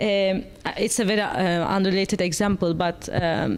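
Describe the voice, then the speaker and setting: A woman speaks with a Turkish accent. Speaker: panel moderator. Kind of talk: panel discussion.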